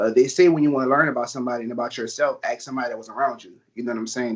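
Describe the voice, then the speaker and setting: A man with a strong New Orleans accent and medium pitch, very fast, with hardly any pauses and big swings in loudness. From New Orleans, Louisiana. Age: 20s. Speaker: actor. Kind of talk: interview. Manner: casual.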